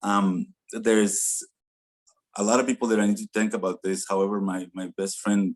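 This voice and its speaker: A man's fairly low voice at a fairly quick pace, dry and close with no echo, against a quiet background. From Mexico. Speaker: award recipient, agency founder. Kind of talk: acceptance speech. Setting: virtual awards ceremony.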